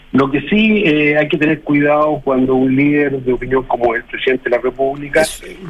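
Noticeable background noise sits under speech at a moderate pace with ordinary pitch variation. There are hardly any pauses, and the loudness stays very even. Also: man, fairly high pitch for a man. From Chile. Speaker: community leader. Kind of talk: radio interview. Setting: phone call. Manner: halting.

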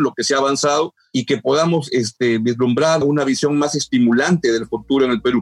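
Dry and close with no echo, a man with a normal speaking voice talks at a fairly quick pace and fairly high pitch, with ordinary pitch variation. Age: 60s. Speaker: journalist and political analyst. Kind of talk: interview.

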